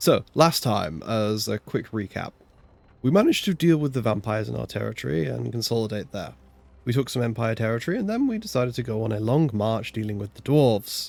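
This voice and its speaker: Lively intonation and a fairly quick pace come with a relaxed tone. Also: man, medium pitch for a man. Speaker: gaming streamer. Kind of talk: gameplay commentary.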